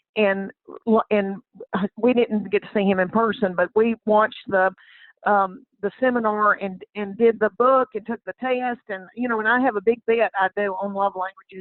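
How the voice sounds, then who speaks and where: Her voice sits fairly high, and she talks at a moderate speed. The woman's intonation remains fairly even. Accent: Southern US. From Southern United States. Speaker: comedian. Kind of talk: podcast interview answer. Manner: warm, chatty storyteller.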